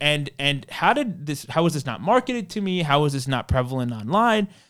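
An American accent at a moderate pace, with very wide pitch swings, on a very clean recording with a silent background. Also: man. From New York, Queens. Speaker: tourism agency founder. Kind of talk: interview. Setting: studio.

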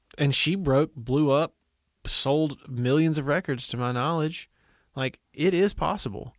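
At a fairly slow pace, a man with a plain, everyday voice and a fairly high pitch speaks in a dry, close sound with no echo. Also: ordinary pitch variation. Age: 30s. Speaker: podcast host. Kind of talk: casual chat.

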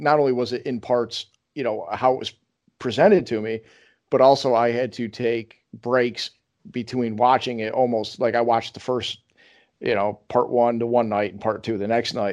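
An unremarkable speaking voice with an American accent, fairly even intonation and a moderate pace over a quiet background. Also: man, medium pitch for a man. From upstate New York. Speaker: podcast host. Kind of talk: casual chat.

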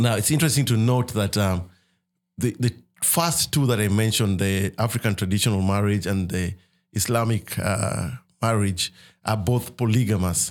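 A man with a Kenyan accent speaks at a fairly low pitch and a moderate pace, with ordinary pitch variation and very even loudness. The recording is very clean, with a silent background. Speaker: ministry leader. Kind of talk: casual chat about faith.

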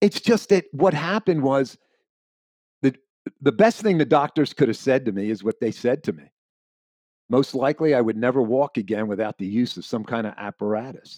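A man with an American accent speaks fairly quickly at a medium pitch, with very wide pitch swings and long, frequent pauses, in a dry, close sound with no echo. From Pennsylvania. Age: 70s. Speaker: amputee athlete and speaker. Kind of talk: casual interview.

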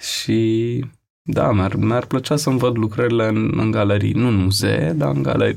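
Fairly low male voice, a normal speaking voice, at a fairly slow pace with ordinary pitch variation. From Romania, Bucharest (Rahova). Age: 20s. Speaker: photographer. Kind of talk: casual interview.

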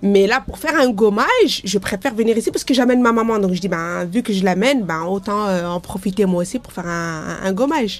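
A woman talks at a fairly quick pace with hardly any pauses. Her pitch is medium, with ordinary variation. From Lyon area, France. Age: 40s. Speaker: bathhouse user. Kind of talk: interview testimony. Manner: halting, many fillers.

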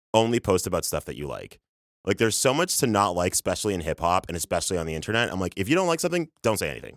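The recording is very clean, with a silent background. A man talks at a very fast pace with very wide pitch swings. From Canada, Toronto. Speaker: social media strategist. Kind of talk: casual chat. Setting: studio. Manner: animated.

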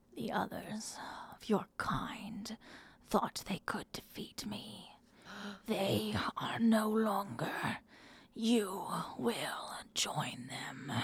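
In a put-on character voice that sounds female, the speaker uses a fairly high, raspy pitch at a very slow pace with long, frequent pauses. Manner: menacing, domineering.

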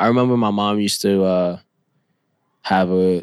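A man with a New York accent, fairly low in pitch, at a moderate pace on a very clean recording with a silent background. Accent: New York (Bronx). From New York City, the Bronx. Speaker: rapper and multimedia artist. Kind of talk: casual interview. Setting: studio. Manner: halting, many fillers.

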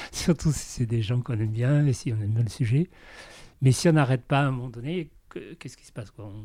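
Speaking at a very fast pace with long, frequent pauses, a man uses a medium pitch, a dark, mellow tone, ordinary pitch variation and big swings in loudness. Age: 70s. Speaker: film production designer. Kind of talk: interview.

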